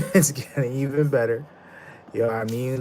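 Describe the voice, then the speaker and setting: Pitched at a medium level, a man talks with ordinary pitch variation. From Canada (Ottawa). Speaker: streamer. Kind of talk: live stream chat. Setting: live stream.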